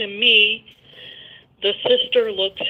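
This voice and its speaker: Noticeable background noise runs behind the recording. A woman talks over it at a moderate pace. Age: 60s. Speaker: caller. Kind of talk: phone-in call. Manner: soft-spoken.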